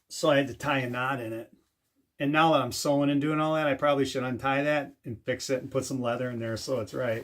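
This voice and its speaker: Very fast and with fairly even intonation, a man delivers his words. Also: medium pitch for a man. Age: 50s. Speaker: DIY and firearms YouTuber. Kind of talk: casual show-and-tell video. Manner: conversational with fillers.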